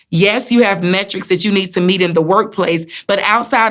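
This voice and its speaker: In a Southern US accent, a woman talks at a moderate pace and medium pitch with ordinary pitch variation, on a very clean recording with a silent background. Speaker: motivational speaker and wellness coach. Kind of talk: motivational talk to camera. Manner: warm, encouraging.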